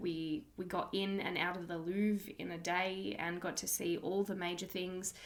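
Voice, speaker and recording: Monotone, flat delivery at a moderate pace, with an Australian accent. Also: woman. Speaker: podcast host. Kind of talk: casual monologue.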